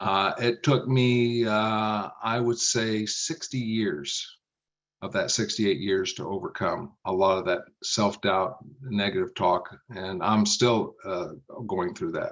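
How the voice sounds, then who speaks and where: A man's fairly low voice at a very slow pace, with ordinary pitch variation. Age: 60s. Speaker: business coach. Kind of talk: podcast interview.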